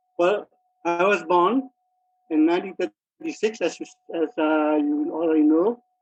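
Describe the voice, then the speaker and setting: A man with a high voice talks at a moderate pace with ordinary pitch variation and very even loudness. He leaves long, frequent pauses while music plays in the background. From Myanmar, Kyaukse near Mandalay. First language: Burmese. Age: 80s+. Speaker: retired mining engineer. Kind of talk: interview. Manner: halting, with many fillers.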